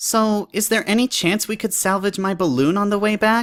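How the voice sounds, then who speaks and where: Pitched fairly high, a put-on character voice talks at a moderate pace on a very clean recording with a silent background. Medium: read story. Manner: friendly, wry.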